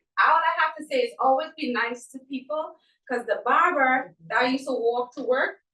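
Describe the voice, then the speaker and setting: A woman talks at a moderate pace with a high voice. Her pitch varies in an ordinary way. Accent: Trinidadian. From Trinidad. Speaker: event participant. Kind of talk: testimony.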